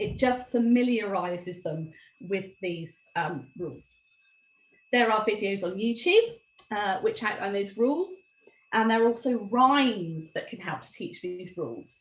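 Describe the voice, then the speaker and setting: Somewhat breathy and fairly high, a woman's voice moves at a fairly slow pace, with lively intonation and big swings in loudness. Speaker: former teacher, dyslexia presenter. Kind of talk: webinar presentation.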